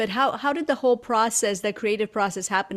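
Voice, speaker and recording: A woman talks with a Romanian accent and ordinary pitch variation. The recording is very clean, with a silent background. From Romania, Transylvania. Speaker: educator and podcast host. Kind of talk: interview conversation.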